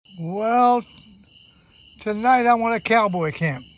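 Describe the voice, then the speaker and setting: Over noticeable background noise, a man with an American accent speaks very slowly at a high pitch with lively intonation. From Kentucky, USA. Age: 80s+. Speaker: adventurer and long-distance hiker. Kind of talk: casual talk to camera on a hiking trip. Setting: outdoors.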